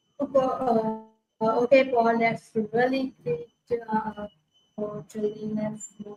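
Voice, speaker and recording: Music plays behind a woman with a fairly high voice. She speaks very slowly, with big swings in loudness. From India. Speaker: interviewer. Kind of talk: interview. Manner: hesitant, many fillers.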